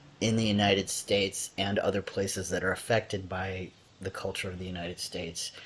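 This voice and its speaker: A man with an American accent, his pitch fairly low and his voice somewhat breathy. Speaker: lecturer. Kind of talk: lecture. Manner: hesitant, many fillers.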